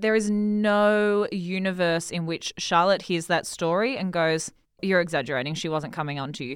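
In a very clean recording with a silent background, a woman speaks in an Australian accent at a fairly low pitch. Her pace is moderate and her pitch variation ordinary. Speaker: guest co-host. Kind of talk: casual chat.

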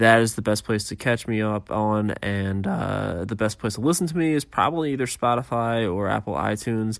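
A man with a normal speaking voice and fairly low pitch talks at a moderate pace with ordinary pitch variation and hardly any pauses, in a very clean recording with a silent background. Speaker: paranormal podcast host. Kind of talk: casual solo podcast monologue.

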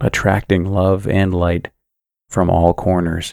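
A man speaks with a soothing, calm tone at a very deep, low pitch, going at a fairly slow pace in a monotone, flat delivery over a very clean recording with a silent background. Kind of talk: guided sleep meditation with affirmations. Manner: slow, soothing, calm and gentle.

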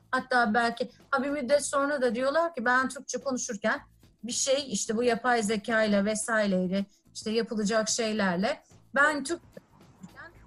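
With music in the background, the speech moves at a moderate pace with ordinary pitch variation. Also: woman. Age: 40s. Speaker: technology company executive. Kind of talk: interview. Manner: frequent filler hesitations.

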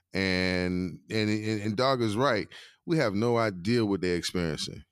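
A man speaks at a fairly slow pace in a fairly low pitch with lively intonation, on a very clean recording with a silent background. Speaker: podcast co-host, former teacher educator. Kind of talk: casual book discussion.

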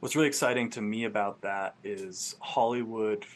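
A man with an American accent, a plain, everyday voice, fairly even intonation and a moderate pace. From Vermont, US. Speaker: filmmaker. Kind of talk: casual interview.

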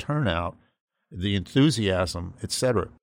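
A man with an American accent speaks in an ordinary speaking voice at a moderate pace. The recording is very clean, with a silent background. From Massachusetts. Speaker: conservative political analyst. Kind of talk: political panel discussion.

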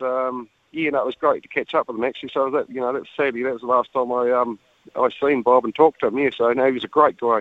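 A man of medium pitch speaks at a very fast pace with a New Zealand accent. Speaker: dairy farmer, father of rugby players. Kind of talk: radio interview.

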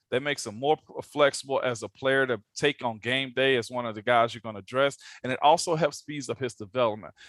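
In a normal speaking voice, a man talks at a medium pitch and a fairly quick pace, with ordinary pitch variation and big swings in loudness. The sound is dry and close with no echo. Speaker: former NFL offensive lineman, radio host. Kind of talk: casual chat.

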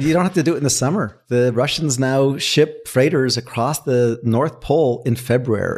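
With an American accent, a man in an unremarkable speaking voice talks at a moderate pace with ordinary pitch variation and very even loudness, on a very clean recording with a silent background. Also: medium pitch for a man. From US, Washington. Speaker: physicist and climate restoration advocate. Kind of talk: casual interview. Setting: in person at a table in San Francisco.

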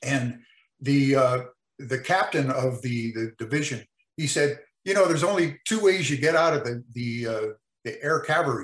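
Somewhat breathy and fairly high in pitch, a man with an American accent speaks at a moderate pace with ordinary pitch variation. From US West Coast, California. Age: 70s. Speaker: lead trumpet player. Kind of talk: casual interview chat. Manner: casual, rambling, halting.

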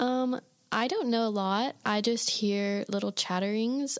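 This woman has a fairly high pitch and ordinary pitch variation, with an Iowa accent. The recording is very clean, with a silent background. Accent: Midwestern (Iowa), noticeable. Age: young. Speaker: college student. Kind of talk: casual chat.

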